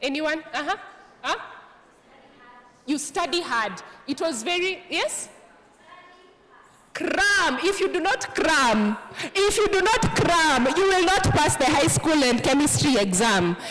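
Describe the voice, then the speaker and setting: With an animated tone, the speaker goes at a fairly slow pace with long, frequent pauses over noticeable background noise. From Kenya. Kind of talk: motivational talk.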